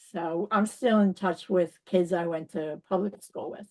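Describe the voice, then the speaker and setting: With a strong New York accent, a woman talks at a moderate pace. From New York City. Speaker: spiritual teacher. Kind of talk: interview.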